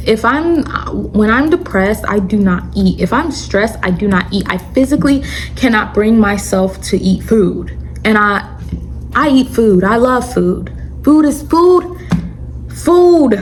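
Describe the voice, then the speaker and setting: A woman talks at a fairly slow pace in an animated tone, with noticeable background noise. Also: very even loudness. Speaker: YouTuber sharing religious testimony. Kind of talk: storytime testimony monologue. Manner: stuttering.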